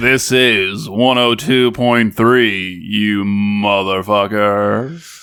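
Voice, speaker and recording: At a very slow pace, a man uses a put-on character voice pitched fairly low. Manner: brash, energetic.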